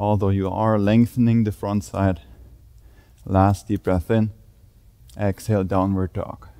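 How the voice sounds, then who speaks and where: A man speaks at a fairly slow pace in a fairly low voice with fairly even intonation. His tone is calm and warm, dark and mellow. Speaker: yoga instructor. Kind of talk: guided yoga class with spoken cues. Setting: gym studio, filmed video. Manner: calm, steady, instructional; warm, encouraging, grounding. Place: gym.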